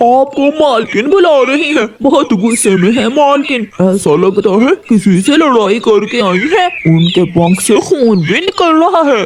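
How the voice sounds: A man puts on a cartoonish character voice. His pitch is extremely high. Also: moderate pace, hardly any pauses.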